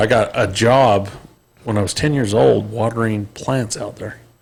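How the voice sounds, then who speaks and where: This is a man with an American accent and an ordinary speaking voice. He talks at a fairly slow pace and fairly low pitch, with ordinary pitch variation. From Utah, Salt Lake area. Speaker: podcast host. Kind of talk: casual chat.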